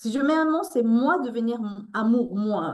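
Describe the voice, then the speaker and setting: A fairly high-pitched woman at a very slow pace, her pitch swinging very widely. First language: Spanish (speaking French). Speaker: author and resilience coach. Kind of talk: interview. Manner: halting.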